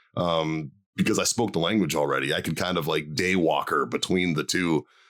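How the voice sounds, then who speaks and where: A man with an American accent speaks at a very deep, low pitch with vocal fry and ordinary pitch variation. His pace is fairly quick and his loudness very even. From Boston, Massachusetts (South Boston). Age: 40s. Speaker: stand-up comedian and former Marine. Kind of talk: casual interview chat. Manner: casual, filler-heavy with repetitions.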